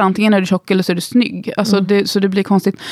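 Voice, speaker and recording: This woman's voice sounds dry and close, with no echo at all. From Gothenburg, Sweden. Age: 30s. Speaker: instagram creator and musician. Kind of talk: casual interview.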